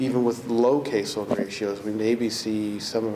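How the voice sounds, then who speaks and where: A soft-spoken man with a medium-pitched voice talks in a room with audible echo and noticeable background noise. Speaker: corrections commissioner. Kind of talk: ceremony speech. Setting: ceremony with audience.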